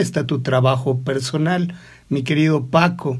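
A man with a Mexican accent, fairly high pitch and a somewhat breathy voice. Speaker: radio host. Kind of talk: radio interview. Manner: formal.

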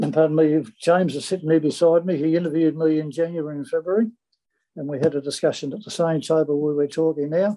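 Speaking with an Australian accent, a man goes at a very fast pace. His fairly high voice has a dark, mellow tone and fairly even intonation. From Sydney, Australia (Chippendale). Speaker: retired rugby league player. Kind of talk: interview.

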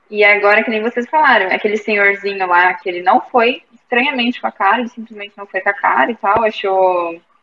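A woman in a normal speaking voice, medium in pitch with ordinary pitch variation, at a fairly quick pace with big swings in loudness. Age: 20s. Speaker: book club member, university student. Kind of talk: casual chat. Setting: video call.

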